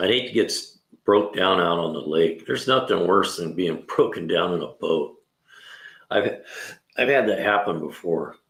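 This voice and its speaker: A man speaks at a moderate pace. His pauses are long and frequent. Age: 60s. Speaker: mechanic. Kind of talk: casual livestream talk.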